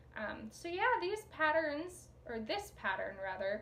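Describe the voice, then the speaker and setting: Noticeable background noise fills the recording. A woman's voice carries audible room echo. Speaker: knitting podcaster and pattern designer. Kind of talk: casual video podcast chat. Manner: fast. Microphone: sound issues.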